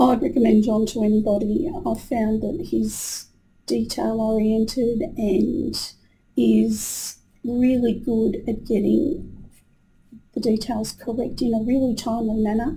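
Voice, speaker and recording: Speaking at a fairly slow pace, a woman has a dark, mellow tone with vocal fry and ordinary pitch variation. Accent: Australian. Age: 60s. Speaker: retired teacher, client. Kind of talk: testimonial interview. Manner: hesitant with fillers.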